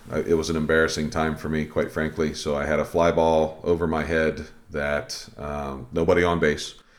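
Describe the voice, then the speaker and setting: With hardly any pauses, a man speaks at a moderate pace in a very deep, low pitch and a monotone, flat intonation. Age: 50s. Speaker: softball umpire, podcast co-host. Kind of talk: casual instructional chat. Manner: halting, many fillers and repeats.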